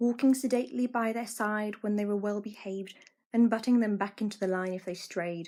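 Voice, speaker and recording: A woman with an English accent talks at a moderate pace with ordinary pitch variation. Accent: well-spoken English. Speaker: amateur audiobook reader. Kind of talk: children's audiobook reading.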